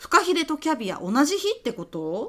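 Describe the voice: A woman puts on a character voice, high-pitched with big swings, bright and sharp in tone, at a fairly quick pace.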